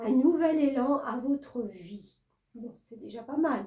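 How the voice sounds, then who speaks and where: Speaking very slowly, a woman uses a high pitch with a dark, mellow tone and ordinary pitch variation. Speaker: tarot reader. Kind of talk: tarot reading guidance monologue. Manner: hesitant with many fillers.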